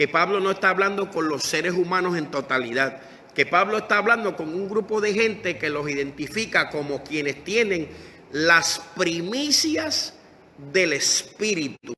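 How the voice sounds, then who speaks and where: Lively intonation marks this fairly slow speech, which plays over noticeable background noise. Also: man, high pitch for a man. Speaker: pastor. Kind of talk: sermon. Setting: Facebook Live stream.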